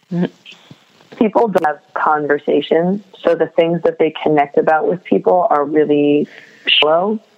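Speech comes at a moderate pace with an American accent. There is noticeable background noise. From New England, US (Japanese American). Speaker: guest, social media page admin. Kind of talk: casual chat. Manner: casual, enthusiastic.

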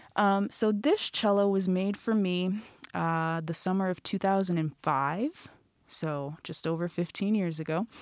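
The recording is very clean, with a silent background. A woman speaks at a very slow pace and a medium pitch, with ordinary pitch variation. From Michigan, US (Flint). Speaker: classical cellist. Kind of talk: casual interview. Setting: studio.

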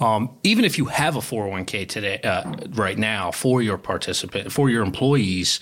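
A man with a Philadelphia accent speaks at a moderate pace, his fairly low pitch rising and falling in an ordinary way. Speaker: wealth advisor. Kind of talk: interview about retirement planning.

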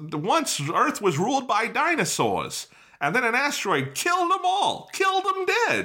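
The put-on character voice uses a Brooklyn accent and moves at a moderate pace. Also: man, extremely high pitch for a man.

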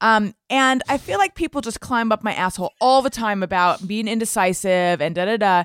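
In an ordinary speaking voice, a woman talks at a fairly quick pace with hardly any pauses, a fairly high pitch and ordinary pitch variation, the sound dry and close with no echo. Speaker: comedian and podcast host. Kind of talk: casual banter in a comedy game show. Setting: remote recording.

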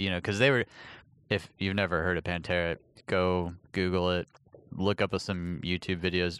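In a dry, close sound with no echo and a quiet background, a man with a very deep, low pitch speaks at a moderate pace with fairly even intonation and long, frequent pauses. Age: 30s. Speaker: podcast host and touring audio engineer. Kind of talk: casual chat. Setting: on a patio at a friend's house.

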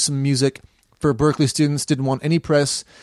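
In a normal speaking voice with an American accent, a man with a fairly high pitch talks at a fairly quick pace on a very clean recording with a silent background. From US South. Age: 30s. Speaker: musician. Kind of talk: casual chat.

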